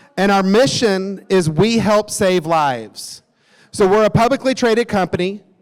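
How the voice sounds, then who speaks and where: An animated man with a Tennessee accent, high-pitched with ordinary pitch variation, at a moderate pace and very even loudness. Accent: Southern US (Tennessee). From US South, Nashville, Tennessee. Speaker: company executive. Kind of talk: conference talk. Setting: stage with audience.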